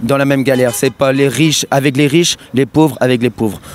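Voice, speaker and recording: A man's fairly high voice with ordinary pitch variation and very even loudness, an ordinary speaking voice. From Brittany, France. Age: 20s. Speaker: protester. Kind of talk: street interview.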